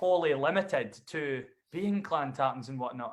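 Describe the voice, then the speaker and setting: This man speaks with a Dundee accent and a fairly high pitch. His intonation is lively. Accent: Scottish (Dundee). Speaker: bagpiper and singer-songwriter. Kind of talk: casual interview chat.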